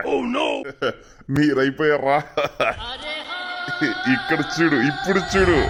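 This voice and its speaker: A man uses a cartoonish character voice with fairly high pitch. He speaks at a fairly slow pace. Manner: taunting.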